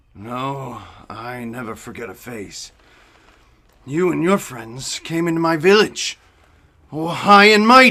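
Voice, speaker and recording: In a put-on character voice, a man of medium pitch makes very wide pitch swings and big swings in loudness at a fairly slow pace with long, frequent pauses. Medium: stage play. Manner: aggressive.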